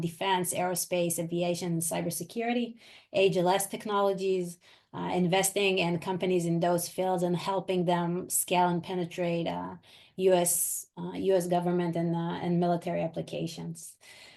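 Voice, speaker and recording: A woman's fairly low voice in an Israeli accent, flat and monotone, at a moderate pace. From Israel and US. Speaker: venture capital investor. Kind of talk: webinar presentation.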